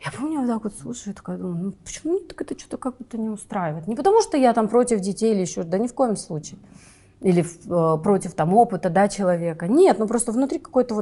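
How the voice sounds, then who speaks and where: A woman's somewhat breathy, medium-pitched voice with a dark, mellow tone at a very fast pace. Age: 30s. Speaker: film producer. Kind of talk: interview. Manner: casual, hesitant fillers.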